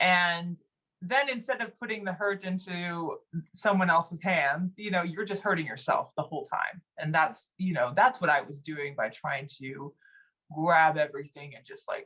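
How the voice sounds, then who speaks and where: A woman's fairly low, bright, sharp voice with an American accent, lively intonation and a moderate pace. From Texas. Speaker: singer. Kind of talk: casual chat. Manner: animated.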